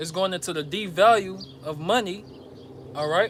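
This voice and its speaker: A high-pitched man with an American accent talks with lively intonation over noticeable background noise. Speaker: religious teacher. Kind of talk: sermon. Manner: stuttering at times.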